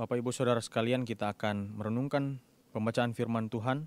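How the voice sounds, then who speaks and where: A man's medium-pitched voice, fairly quick, with fairly even intonation. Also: dry, close sound with no echo. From Minahasa, North Sulawesi, Indonesia. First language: Tombulu (Minahasa) (speaking Indonesian). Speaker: preacher. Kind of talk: sermon.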